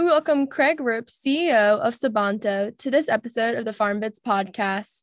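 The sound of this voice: At a moderate pace, a woman talks at a fairly high pitch with ordinary pitch variation.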